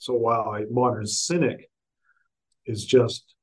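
This man has a medium pitch. His voice is somewhat breathy. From US South, Augusta, Georgia. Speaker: professor and author. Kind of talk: interview. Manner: halting, many fillers.

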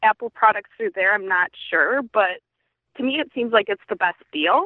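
A woman speaks with an American accent. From Wisconsin. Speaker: listener caller. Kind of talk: casual chat. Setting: phone call.

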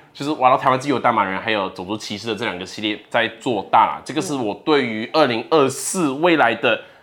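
At a fairly quick pace and with hardly any pauses, a man speaks in a medium pitch with lively intonation. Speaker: content creator. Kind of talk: interview.

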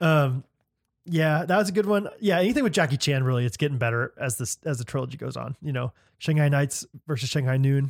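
A man with an American accent and an unremarkable speaking voice talks at a fairly quick pace in a fairly high voice with lively intonation. The recording is very clean with a silent background, and the sound is dry and close with no echo. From US Midwest. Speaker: podcast co-host. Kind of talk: casual chat.

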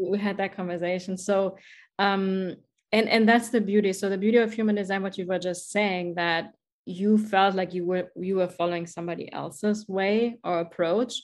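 A woman with a German accent talks in an enthusiastic tone at a medium pitch and a moderate pace. The background is quiet. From Germany. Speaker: podcast host, life coach. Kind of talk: interview conversation. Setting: video call.

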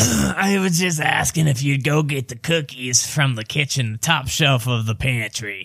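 Someone speaks in a put-on character voice that is raspy and nasal. The delivery has lively intonation at a moderate pace. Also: man, medium pitch for a man. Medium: actual play. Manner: folksy, overly chummy.

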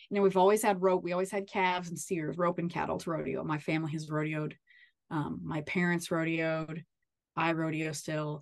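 A woman's unremarkable speaking voice, fairly low in pitch, fairly quick, with fairly even intonation. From Kansas, southeast. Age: 30s. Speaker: rancher and agriculture advocate. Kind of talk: casual interview chat.

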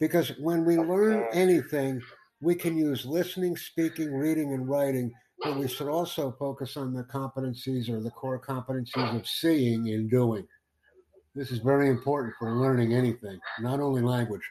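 A man with an unremarkable speaking voice talks at a moderate pace and a medium pitch, with ordinary pitch variation. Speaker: podcast host; English tutor.

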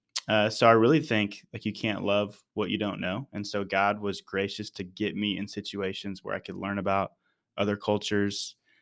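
In a very clean recording with a silent background, a man with a plain, everyday voice speaks at a moderate pace, his pitch fairly low and his intonation fairly even. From Texas, Dallas-Fort Worth area. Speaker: church missions leader. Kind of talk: casual interview.

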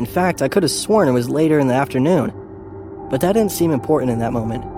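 Over music in the background, a man talks at a very fast pace in a dramatic tone, with lively intonation and a fairly high pitch. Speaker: narrator of a scary story. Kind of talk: ghost story telling, first-person spooky narration. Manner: dramatic, with fear and dread building.

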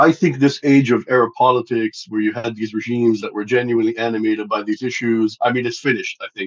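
Speaking at a very fast pace with hardly any pauses, a man with a Lebanese accent holds a medium pitch and fairly even intonation in a dry, close sound with no echo. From Lebanon. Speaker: think tank director and Middle East analyst. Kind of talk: expert analysis in interview.

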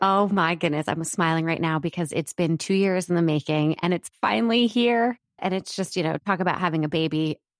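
On a very clean recording with a silent background and a dry, close sound with no echo, a woman with an American accent and an unremarkable speaking voice talks at a fairly low pitch and fairly quick pace, with ordinary pitch variation and hardly any pauses. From US East Coast. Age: 30s. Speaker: entrepreneur and author. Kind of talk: interview.

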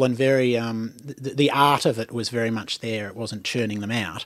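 Fairly quick male speech in an Australian accent. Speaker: podcast host and playwright. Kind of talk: casual chat. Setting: studio.

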